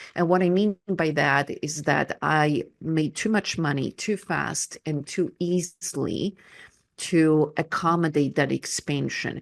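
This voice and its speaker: A woman's very deep, low voice with vocal fry, at a very slow pace, dry and close with no echo against a quiet background. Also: ordinary pitch variation. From Poland. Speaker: energy coach. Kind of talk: interview. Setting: radio show.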